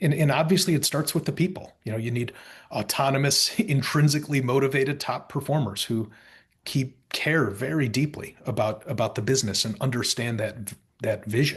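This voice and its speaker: Against a quiet background, a man speaks at a medium pitch, somewhat breathy, with ordinary pitch variation. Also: fairly quick pace. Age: 40s. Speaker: company founder and CEO. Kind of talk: interview. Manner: halting.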